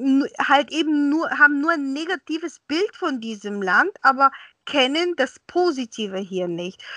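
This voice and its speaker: A woman with a Bulgarian accent speaks at a high pitch and a fairly slow pace, her raised, projected voice swinging very widely in pitch. Her tone is bright and sharp. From Bulgaria, raised partly in Austria. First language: Bulgarian (speaking German). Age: 50s. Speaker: interpreter and translator. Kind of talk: interview. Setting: video call. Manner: hesitant, many fillers.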